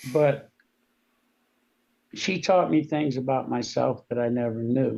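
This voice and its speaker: A man's medium-pitched voice with a dark, mellow tone. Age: 60s. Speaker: war veteran. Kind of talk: testimony. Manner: halting.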